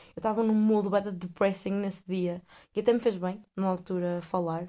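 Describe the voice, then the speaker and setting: With a European Portuguese accent, a woman talks at a medium pitch in a flat, monotone way. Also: very clean recording, silent background. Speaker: podcast host. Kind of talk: casual monologue. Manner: hesitant, many fillers.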